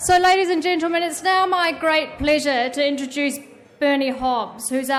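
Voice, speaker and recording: A woman talks at a moderate pace, with audible room echo around her. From New Zealand. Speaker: event organiser introducing moderator. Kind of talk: formal introduction speech.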